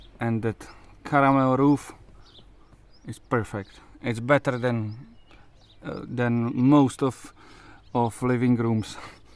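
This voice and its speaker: This man talks at a very slow pace, with a Czech accent and long, frequent pauses. His intonation stays monotone and flat. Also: medium pitch for a man. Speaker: car mechanic and enthusiast. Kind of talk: video walkthrough of a car. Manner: halting, many fillers.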